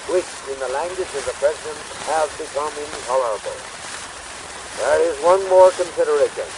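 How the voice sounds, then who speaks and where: A man with an American accent at a fairly quick pace, with long, frequent pauses, a dry sound with no echo and noticeable background noise. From United States. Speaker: showman. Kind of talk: political speech. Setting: 1898 phonograph recording with pops and hiss. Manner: showman's cadence, oratorical. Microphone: old recording.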